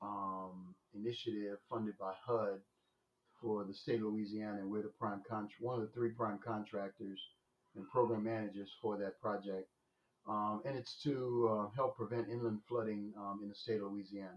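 Monotone, flat intonation at a moderate pace. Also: man, fairly low pitch for a man. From New Orleans, lower ninth ward. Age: 60s. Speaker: business owner, former corporate executive. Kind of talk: interview. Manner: hesitant, with fillers.

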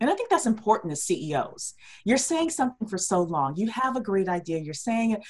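A woman speaks with very wide pitch swings in a somewhat breathy voice. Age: 40s. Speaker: entrepreneur, former business plan writer. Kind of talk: interview. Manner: hesitant fillers.

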